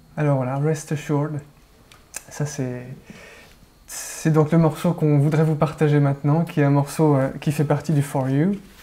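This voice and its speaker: Using monotone, flat intonation, a man with a fairly high pitch speaks at a fairly slow pace with long, frequent pauses. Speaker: interview host. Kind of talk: interviewer talk.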